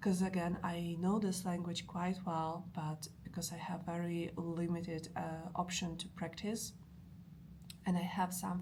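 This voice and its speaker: A woman with a Polish accent talks at a fairly slow pace in a fairly low, somewhat breathy voice, her intonation monotone and flat, with audible echo in the room. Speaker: language learning vlogger. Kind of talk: casual vlog talk. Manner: halting, many fillers.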